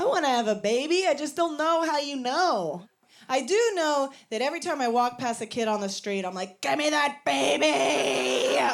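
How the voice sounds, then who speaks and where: A woman with an American accent speaks at a moderate pace in a high pitch, her voice swinging very widely up and down over noticeable background noise. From Virginia, US. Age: 30s. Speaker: stand-up comedian. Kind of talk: stand-up. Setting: stage with audience.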